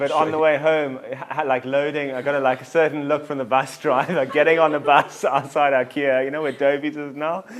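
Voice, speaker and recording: Fairly quick, fairly high-pitched male speech over noticeable background noise. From South Africa. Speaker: tour company founder. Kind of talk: interview. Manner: casual, hesitant with fillers.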